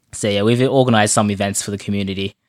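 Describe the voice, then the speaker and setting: Speaking very fast, a man delivers his words with an Australian accent. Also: very clean recording, silent background. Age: 20s. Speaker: online community founder. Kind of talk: casual chat.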